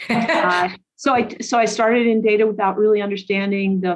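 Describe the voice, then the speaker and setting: Speaking fairly slowly, the woman keeps her intonation fairly even. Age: 60s. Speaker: government IT executive. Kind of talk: interview. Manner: halting, many fillers.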